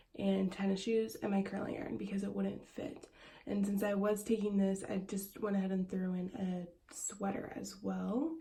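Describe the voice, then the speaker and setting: A woman of medium pitch at a moderate pace, with audible room echo. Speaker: esthetician and small business owner vlogger. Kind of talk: casual vlog. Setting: bathroom at home.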